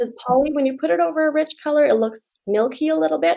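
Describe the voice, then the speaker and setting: A woman talks in a Canadian prairie accent. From Saskatchewan, Canada. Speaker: furniture refinisher. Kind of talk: interview. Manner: animated.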